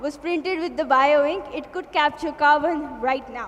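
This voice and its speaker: Heard with audible room echo, a woman speaks at a high pitch with ordinary pitch variation. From India. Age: young. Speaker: student innovator and interviewer. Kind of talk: stage presentation and interview. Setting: stage with audience.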